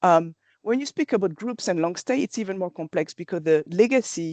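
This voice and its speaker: Lively intonation in a French accent at a moderate pace, with a quiet background and a dry, close sound with no echo. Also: woman. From France. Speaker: company presenter. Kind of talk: webinar presentation. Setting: online webinar. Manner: hesitant, with fillers and restarts.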